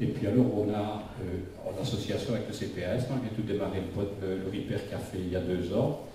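With hardly any pauses, a man talks at a fairly low pitch and with fairly even intonation. Room echo is audible, along with light background noise. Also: moderate pace. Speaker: retired IT consultant, election candidate. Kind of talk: public speech. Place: hall. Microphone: camera far.

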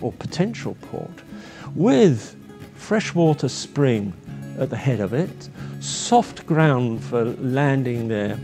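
A man with an English accent, very slow and lively in intonation, with long, frequent pauses over clear background music. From England. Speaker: marine painter. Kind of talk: interview answer. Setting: painting studio. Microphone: lapel.

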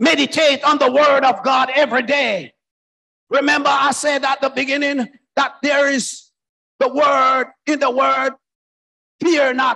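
A man shouting in an animated, bright and sharp tone, at a fairly slow pace with long, frequent pauses and very even loudness, over a quiet background. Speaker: preacher. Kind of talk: sermon with exclamations and prayer. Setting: church. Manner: animated, fervent, exclaiming 'Oh, glory' and 'hallelujah'. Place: church. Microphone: handheld.

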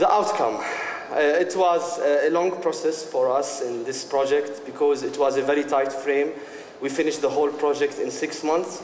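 Audible room echo surrounds a man speaking over light background noise. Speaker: presenter. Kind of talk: conference presentation. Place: stage.

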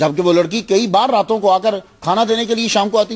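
A quiet background behind ordinary shifts in pitch. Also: man. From Pakistan, Lahore; Pakistan. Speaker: Islamic scholar and preacher; preacher. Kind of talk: religious lecture. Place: home room. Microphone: podium.

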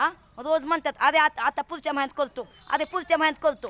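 Here a woman speaks in a high, bright, sharp tone. The sound is dry and close with no echo. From Indapur taluka, Pune district, Maharashtra. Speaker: village resident vlogger. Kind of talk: complaint vlog walkthrough. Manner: animated.

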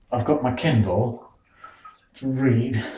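A man speaks at a very slow pace. Audible room echo surrounds his voice. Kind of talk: casual vlog chat. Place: bathroom. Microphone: phone near.

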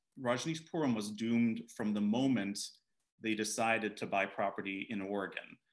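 An unremarkable speaking voice at a moderate pace against a quiet background. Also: man. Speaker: author and attorney. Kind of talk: book event conversation. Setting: video call. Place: home room. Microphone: video call.

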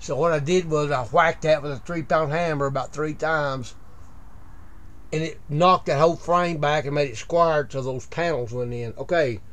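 A man speaks at a moderate pace, his pitch fairly high and showing ordinary variation.

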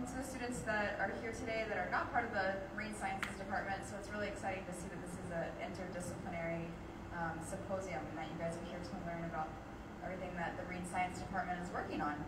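Amid loud background noise and audible room echo, a woman talks very fast with ordinary pitch variation. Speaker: speaker. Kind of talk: lecture. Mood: warm, enthusiastic. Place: hall. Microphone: handheld.

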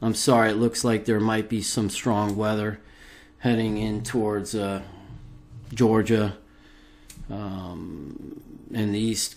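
Speaking at a fairly slow pace, a man uses a normal speaking voice with a fairly low pitch. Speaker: video blogger conspiracy commentator. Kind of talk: angry rant. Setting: recorded solo video. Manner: indignant, accusatory, worked-up; urgent, addressing viewers directly.

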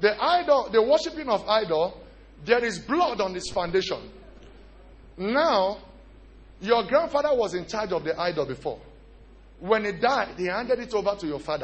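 A man with a high pitch talks at a moderate pace, his voice making very wide pitch swings between long, frequent pauses. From Nigeria. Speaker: pastor. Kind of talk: sermon. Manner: animated. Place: church. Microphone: handheld.

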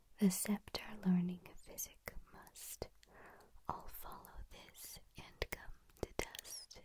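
A soft-spoken woman whispers at a very slow pace, the sound dry with no echo and noticeable background noise behind her. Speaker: voice coach. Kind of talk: tutorial. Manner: soft close-mic whisper. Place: home room. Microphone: earbuds.

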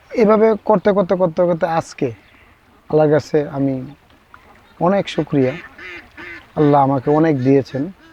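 A normal speaking voice from a man, fairly high-pitched, with very even loudness and ordinary pitch variation. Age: 30s. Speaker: duck farmer. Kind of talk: interview.

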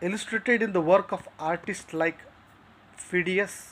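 A man speaks at a moderate pace in a high pitch with fairly even intonation. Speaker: literature teacher. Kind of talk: lecture. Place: home room. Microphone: phone near.

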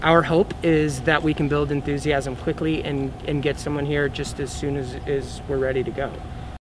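A man speaks at a moderate pace with hardly any pauses. His intonation is monotone and flat, and there is noticeable background noise. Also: fairly high pitch for a man. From Oklahoma. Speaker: film studio entrepreneur. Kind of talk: news interview. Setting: on location in a convention arena.

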